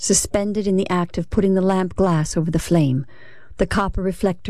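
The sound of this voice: Delivered in an unforced reading voice, the clip is spoken throughout.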